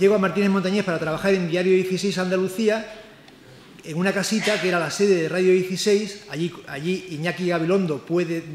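A high-pitched man talks at a moderate pace. There is audible room echo and light background noise. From Spain, outside Seville; Spain. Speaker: cultural journalist. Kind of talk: book launch presentation. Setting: live event with audience. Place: hall. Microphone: microphone volume issues at start; podium.

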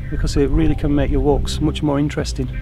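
With clear music playing in the background, a man talks at a very fast pace. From Sheffield, England. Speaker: amateur archaeology enthusiast. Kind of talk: interview answer. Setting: outdoors. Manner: casual, hesitant, enthusiastic. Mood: calm, enthusiastic.

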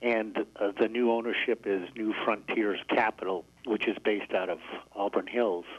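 A man with an American accent, fairly low pitch, and monotone, flat intonation. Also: moderate pace. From Syracuse, New York. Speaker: resort manager. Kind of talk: radio interview.

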